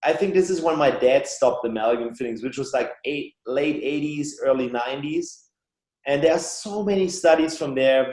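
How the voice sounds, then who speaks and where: In a German accent, a man talks at a fairly high pitch with ordinary variation in his pitch. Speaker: biological dentist and author. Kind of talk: podcast interview.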